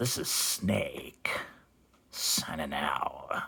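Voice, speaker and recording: The voice is a raspy one. It is a put-on character voice from a man. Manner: tough, clipped.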